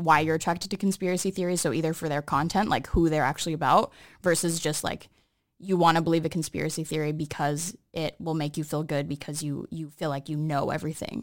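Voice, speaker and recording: A woman with an American accent talks at a very fast pace with fairly even intonation and a fairly low pitch. The recording is very clean, with a silent background. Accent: sounds American. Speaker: podcast co-host. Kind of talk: casual chat. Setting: studio.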